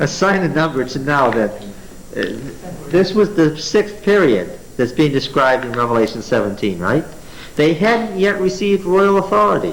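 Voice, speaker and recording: Amid noticeable background noise and audible room echo, a man speaks at a fairly high pitch with very wide pitch swings. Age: 40s. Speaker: Bible teacher. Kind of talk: Bible study lecture with class interaction. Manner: conversational, asks the class questions.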